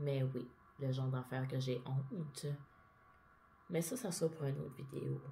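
A woman with a Quebec accent speaks in a very deep, low pitch at a moderate pace, using ordinary pitch variation. She leaves long, frequent pauses over light background noise. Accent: Québécois French. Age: 30s. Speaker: vlogger. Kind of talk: personal monologue vlog. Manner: casual. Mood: open, confessional, a bit emotional. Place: home room.

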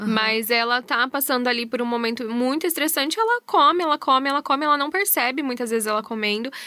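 A woman speaks at a fairly quick pace. Her pitch is high, with ordinary variation. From Brazil, Londrina (Paraná); Paraná, Brazil. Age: 30s. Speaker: psychologist. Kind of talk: radio interview. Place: studio.

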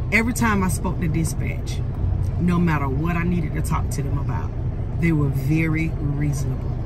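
Loud background noise sits behind a woman talking at a moderate pace. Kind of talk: casual vlog review. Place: car. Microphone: phone near.

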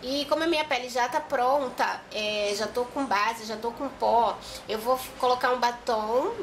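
Her pitch is high for a woman, with ordinary pitch variation. She speaks at a fairly slow pace over light background noise. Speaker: vlogger. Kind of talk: casual makeup vlog chat. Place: home room. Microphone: phone near.

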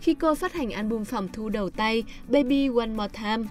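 A woman speaks with lively intonation at a fairly high pitch. Music plays in the background. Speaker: narrator. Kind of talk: biography podcast narration.

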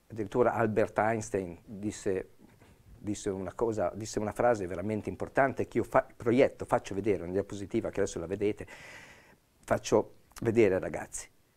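Speaking at a fairly quick pace yet with long, frequent pauses, a man keeps a fairly low pitch and fairly even intonation. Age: 60s. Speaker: police officer. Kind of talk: expert explanation on TV panel. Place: studio. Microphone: lapel.

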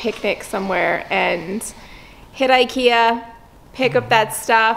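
A woman speaks at a very slow pace with ordinary pitch variation. Light background noise sits behind her. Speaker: vlogger. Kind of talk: casual vlog chat. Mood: cheerful, excited. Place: workshop. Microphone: phone near.

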